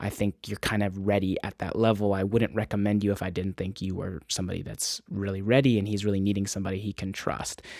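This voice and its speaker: A man with an American accent speaks at a very fast pace with hardly any pauses. His fairly low voice is monotone and flat. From US West Coast, Encinitas, California. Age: 20s. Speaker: filmmaker and music video director. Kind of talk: interview.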